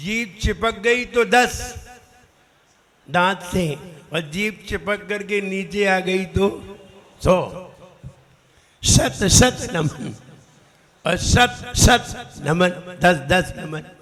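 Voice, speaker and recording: Long, frequent pauses break up a man's high-pitched speech, which has ordinary pitch variation. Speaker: Jain monk teaching pronunciation. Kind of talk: religious pronunciation class.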